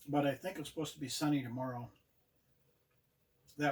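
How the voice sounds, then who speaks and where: The tone is relaxed and somewhat breathy. Intonation stays monotone and flat. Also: man. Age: 70s. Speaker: outdoor vlogger. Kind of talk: casual vlog talk. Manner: relaxed, halting with fillers.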